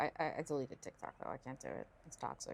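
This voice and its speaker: Very fast mumbling from a woman in a very clean recording with a silent background. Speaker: game streamer. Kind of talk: casual live stream chat. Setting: live stream. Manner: mumbling to self.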